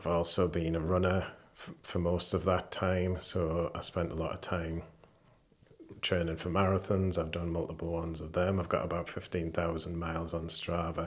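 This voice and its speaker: This man's voice is very deep and low. His intonation is monotone and flat. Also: moderate pace. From northeast England. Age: 50s. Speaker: cancer patient vlogger. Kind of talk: personal vlog monologue.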